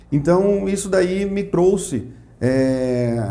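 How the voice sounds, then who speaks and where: A man speaks with lively intonation. Audible room echo and noticeable background noise surround him. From Mato Grosso do Sul, Brazil (Aquidauana). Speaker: economics professor and Rotary member. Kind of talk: interview.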